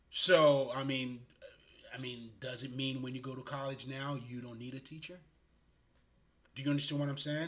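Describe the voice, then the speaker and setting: In a room with audible echo, a man talks at medium pitch and a moderate pace, his loudness swinging widely and his speech broken by long, frequent pauses. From Haiti. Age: 40s. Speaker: spiritual healer. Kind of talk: casual livestream monologue. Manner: animated.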